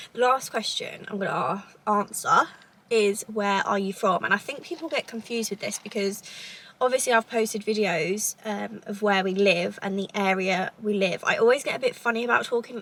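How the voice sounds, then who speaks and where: Moderate pace amid noticeable background noise. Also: woman, fairly high pitch for a woman, ordinary pitch variation. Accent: southern English. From southern England, Cambridgeshire. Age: 20s. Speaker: lifestyle vlogger. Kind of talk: casual chat. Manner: rambling conversational.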